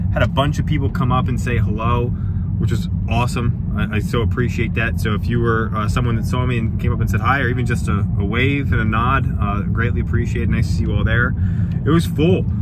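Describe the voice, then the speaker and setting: Loud background noise surrounds a man speaking very fast, his voice dry with no echo. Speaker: hobby vlogger. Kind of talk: casual vlog chat. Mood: happy, upbeat. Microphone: phone near.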